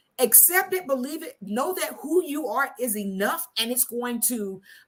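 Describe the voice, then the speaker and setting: Loud and animated, a woman speaks at a moderate pace in a high pitch. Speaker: talk show host. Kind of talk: casual chat.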